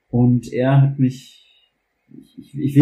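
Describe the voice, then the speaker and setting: Somewhat breathy, the voice carries a dark, mellow tone and an American accent. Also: man. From US South, Louisiana. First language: English (speaking German). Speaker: German teacher. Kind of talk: personal testimony in a podcast interview. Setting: kitchen at home. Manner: halting, many fillers and repetitions.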